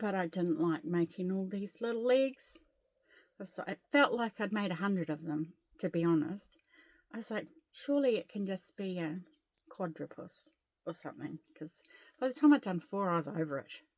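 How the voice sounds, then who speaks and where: Lively intonation in a New Zealand accent at a moderate pace, broken by long, frequent pauses. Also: woman, medium pitch for a woman. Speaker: crochet vlogger. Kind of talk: casual chat. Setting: at home. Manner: soft-spoken.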